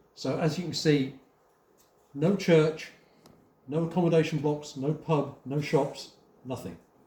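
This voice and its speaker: Pausing long and often, a man speaks at a fairly high pitch in a dark, mellow, somewhat breathy tone with fairly even intonation. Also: fairly slow pace. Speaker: museum volunteer guide. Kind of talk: live guided talk to visitors. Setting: indoor hall with audience.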